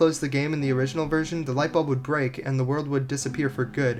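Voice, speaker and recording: Over music in the background, the speech comes at a very fast pace. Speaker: video game reviewer. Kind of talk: casual game review narration.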